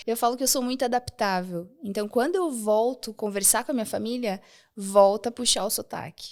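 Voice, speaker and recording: A fairly high-pitched woman at a moderate pace, with ordinary pitch variation, on a very clean recording with a silent background. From southern Brazil, rural Rio Grande do Sul. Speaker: architect and femininity content creator. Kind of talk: podcast interview.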